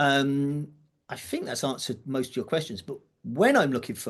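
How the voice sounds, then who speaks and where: With a British accent, a man talks at a fairly high pitch against a quiet background. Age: 60s. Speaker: drum teacher and event organiser. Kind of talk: podcast interview. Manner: casual, with fillers and false starts.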